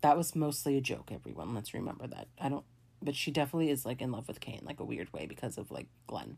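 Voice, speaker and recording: Very fast and animated, the voice has lively intonation and vocal fry. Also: woman, very deep, low pitch for a woman. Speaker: podcast host. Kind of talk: casual solo movie commentary. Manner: excitable, animated.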